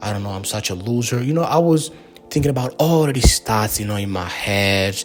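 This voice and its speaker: Music plays in the background as a man with a non-native accent talks. His fairly low voice moves at a fairly quick pace with lively intonation. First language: not English. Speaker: YouTube creator, videographer. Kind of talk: casual vlog monologue to camera. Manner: hesitant, many fillers.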